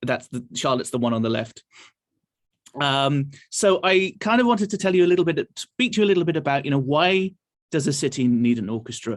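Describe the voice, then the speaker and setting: A man with an English accent talks at a fairly quick pace, his intonation lively. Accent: English accent, noticeable. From England, Nottingham. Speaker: orchestra conductor.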